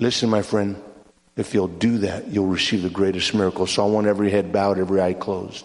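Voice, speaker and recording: Audible room echo accompanies a man speaking at a fairly quick pace with a fairly low pitch and fairly even intonation. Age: 60s. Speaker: evangelist. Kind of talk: sermon.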